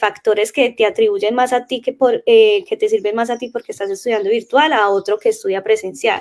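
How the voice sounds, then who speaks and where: A woman's plain, everyday voice, fairly high, with ordinary pitch variation. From Colombia, Caldas. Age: 20s. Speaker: language teacher. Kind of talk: casual interview chat.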